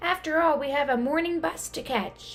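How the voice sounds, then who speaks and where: Using a put-on character voice, a woman speaks high-pitched at a moderate pace over clear background noise. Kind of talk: bedtime story. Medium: read story.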